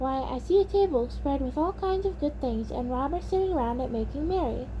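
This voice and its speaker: Over loud background noise, a put-on character voice talks at a fairly quick pace. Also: woman. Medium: read story.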